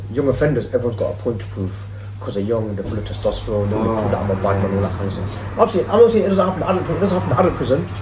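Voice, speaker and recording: Speaking at a very fast pace, a man has fairly low pitch. Noticeable background noise and audible room echo fill the clip. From English Midlands, Leicester. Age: 30s. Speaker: youth worker, former street hustler. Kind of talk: casual podcast interview. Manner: animated, conversational.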